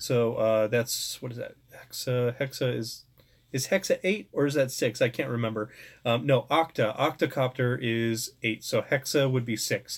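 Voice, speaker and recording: On a very clean recording with a silent background, a man speaks in a somewhat breathy voice at medium pitch, a moderate pace, and ordinary pitch variation. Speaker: drone hobbyist YouTuber. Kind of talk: live stream Q&A. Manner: hesitant, many fillers.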